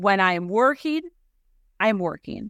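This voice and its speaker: A woman's fairly slow speech in a Chicago accent, dry and close with no echo, on a very clean recording with a silent background. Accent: Chicago-area American. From US Midwest, Chicago suburbs. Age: 40s. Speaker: time management coach. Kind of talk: interview. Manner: animated.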